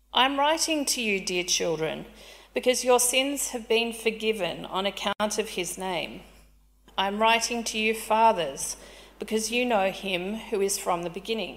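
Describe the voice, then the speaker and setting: An unremarkable speaking voice comes through. It moves at a fairly slow pace with ordinary pitch variation. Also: woman. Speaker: scripture reader. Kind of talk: reading aloud. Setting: church.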